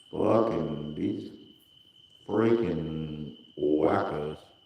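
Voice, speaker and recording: Audible room echo surrounds a man whose voice is very deep and low in pitch. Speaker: livestreamer. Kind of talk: casual livestream chat.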